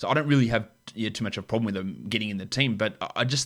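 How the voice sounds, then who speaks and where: A man with an Australian accent speaks at a very fast pace. The recording is very clean, with a silent background. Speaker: AFL podcast co-host. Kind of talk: casual sports discussion.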